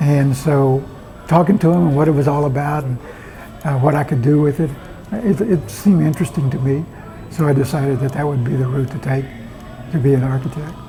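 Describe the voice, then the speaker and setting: The speech moves at a fairly quick pace with long, frequent pauses and ordinary pitch variation, set against noticeable background noise. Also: man, fairly high pitch for a man. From Texas (Bryan), Mexican-American family. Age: 70s. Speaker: retired city planner. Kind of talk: oral history interview. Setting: restaurant. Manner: halting, repetitive starts.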